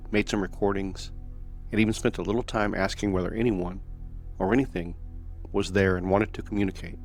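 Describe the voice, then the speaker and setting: The speech comes at a fairly quick pace but with long, frequent pauses, in monotone, flat intonation. Music plays in the background. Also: man. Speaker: paranormal story narrator. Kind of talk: paranormal story narration.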